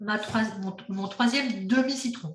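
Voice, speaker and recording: A woman speaking at a very slow pace with ordinary pitch variation, plus audible room echo. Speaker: cooking workshop instructor. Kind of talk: cooking class demonstration.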